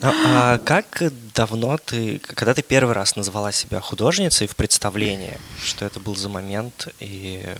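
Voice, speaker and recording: The speech moves at a fairly slow pace, with ordinary pitch variation and big swings in loudness. Noticeable background noise runs underneath. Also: man, fairly low pitch for a man. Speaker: podcast co-host. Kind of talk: casual chat.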